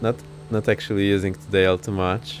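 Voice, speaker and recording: Over background music, a man speaks at a fairly quick pace in a fairly low pitch with ordinary pitch variation. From Poland. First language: Polish. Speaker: flight sim streamer. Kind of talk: live gameplay commentary. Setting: live stream.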